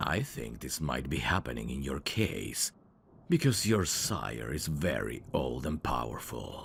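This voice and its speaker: Using a put-on character voice, a man speaks with a very deep, low pitch at a fairly slow pace. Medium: solo performance. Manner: smooth, teasing, endearment-heavy.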